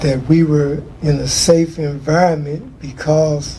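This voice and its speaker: Amid noticeable background noise and audible room echo, a man with a fairly high pitch speaks in a monotone, flat intonation. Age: 60s. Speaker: formerly incarcerated man. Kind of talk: testimony. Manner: hesitant, many fillers.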